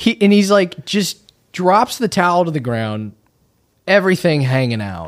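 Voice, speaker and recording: Speaking at a fairly slow pace, a man with a high pitch moves through very wide pitch swings. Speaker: podcast host. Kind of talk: casual comedic banter interview.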